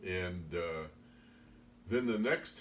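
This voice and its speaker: Audible room echo follows a man's voice. His pitch varies in an ordinary way. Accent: Midwestern US. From US Midwest, Iowa. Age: 80s+. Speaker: storyteller recounting his youth. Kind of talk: oral history storytelling. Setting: informal recorded interview.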